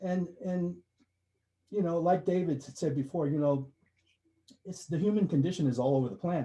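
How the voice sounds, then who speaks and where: Somewhat breathy, this man's voice has a dark, mellow tone and ordinary pitch variation. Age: 60s. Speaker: story contributor to an anthology. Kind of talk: testimony. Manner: halting.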